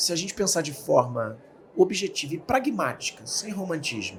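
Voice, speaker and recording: Here a man with a high-pitched voice speaks at a moderate pace. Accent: Rio de Janeiro. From Rio de Janeiro, Brazil. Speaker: speaker and author. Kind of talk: interview. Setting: studio.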